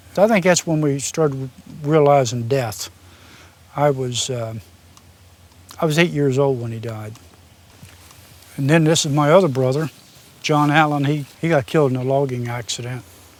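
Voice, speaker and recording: Against noticeable background noise, a man with an Appalachian accent speaks at a moderate pace in a fairly high voice, with ordinary pitch variation and long, frequent pauses. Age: 60s. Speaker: former machinist and welder. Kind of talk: interview, personal storytelling.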